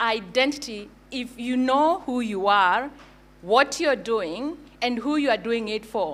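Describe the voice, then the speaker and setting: In a Kenyan accent, a woman speaks with a high pitch and ordinary pitch variation. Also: very clean recording, silent background. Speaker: brand agency founder. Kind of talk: conference talk. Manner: hesitant with fillers.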